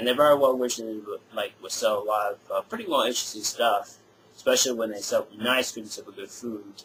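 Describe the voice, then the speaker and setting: Loudness swings widely as a man talks at a fairly quick pace. There is noticeable background noise. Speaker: music collector video blogger. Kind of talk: casual product review. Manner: hesitant, many fillers.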